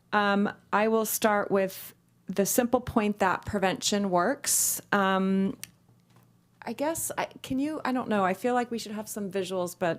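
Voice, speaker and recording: A woman speaks in a plain, everyday voice at medium pitch and a fairly slow pace, with ordinary pitch variation. The recording is very clean, with a silent background. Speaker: nonprofit executive director. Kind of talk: public presentation. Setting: public meeting chamber.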